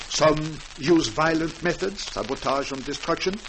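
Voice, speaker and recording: A man's high-pitched voice at a fairly slow pace, with ordinary pitch variation over noticeable background noise. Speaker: French guest speaker, doctor, broadcast talk. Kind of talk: formal radio address / interview answer.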